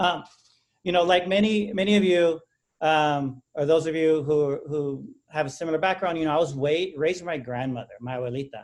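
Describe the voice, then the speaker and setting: A man talks at a fairly quick pace in a fairly high pitch. His pitch varies in an ordinary way. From Texas, San Antonio west side. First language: Spanish. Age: 40s. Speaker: academic speaker. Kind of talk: presentation.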